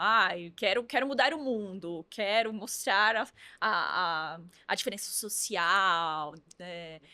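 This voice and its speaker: The tone is bright and sharp. This woman's intonation rises and falls in a lively way. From interior of São Paulo state, Brazil. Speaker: influencer marketing agency founder. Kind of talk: podcast interview.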